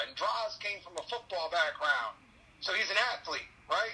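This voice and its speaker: A man talks at a moderate pace. Noticeable background noise runs throughout. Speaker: guest, co-host and wrestling fan. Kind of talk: casual wrestling commentary, opinionated recap and analysis of the fights. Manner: animated, opinionated, jokey and sarcastic.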